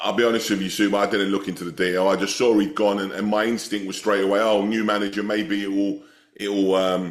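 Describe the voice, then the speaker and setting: At a very fast pace, a man speaks in a fairly low pitch with an English accent. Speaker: football podcast co-host. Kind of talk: casual chat. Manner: animated.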